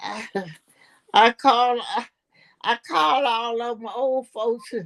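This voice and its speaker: A woman speaks at a high pitch, her loudness swinging widely. Her pauses are long and frequent. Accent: American. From US South. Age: 80s+. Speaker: centenarian interviewee. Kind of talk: casual interview chat.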